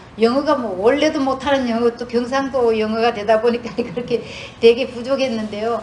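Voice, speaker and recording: A woman speaks at a fairly quick pace with a Gyeongsang accent, her pitch high and her intonation fairly even. Noticeable background noise runs under her voice. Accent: Gyeongsang Korean dialect. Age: 60s. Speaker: retired nurse, church speaker. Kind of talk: testimony. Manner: halting, many fillers.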